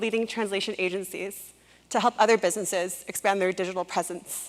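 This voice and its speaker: A woman's plain, everyday voice with a Canadian accent, fairly even intonation, and a fairly quick pace. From Canada. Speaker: public speaker, entrepreneur. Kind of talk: TED-style talk.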